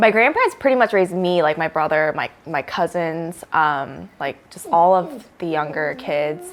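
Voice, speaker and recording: A woman with an American accent talks at a moderate pace, her fairly low voice full of lively intonation and big swings in loudness. Noticeable background noise sits behind her. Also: hardly any pauses. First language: Korean. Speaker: friend of the host. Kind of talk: casual chat.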